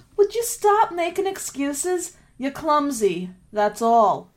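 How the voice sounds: A woman uses a put-on character voice with a high pitch. It moves slowly, with big pitch swings.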